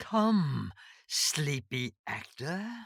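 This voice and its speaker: In a put-on character voice at a middle pitch, the speaker swings the pitch very widely. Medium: read story. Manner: terse, cryptic.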